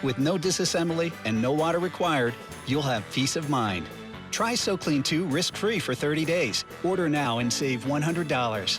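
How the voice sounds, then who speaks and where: With music playing in the background, a man speaks at a moderate pace in a fairly high voice. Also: lively intonation. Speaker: voice actor. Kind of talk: TV commercial read.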